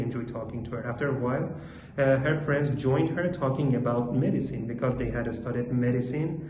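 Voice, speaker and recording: Man with a medium pitch and a non-native accent, fairly quick pace, audible room echo and noticeable background noise. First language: not English. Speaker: English learner practicing speaking. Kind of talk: monologue speaking practice. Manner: halting, many fillers.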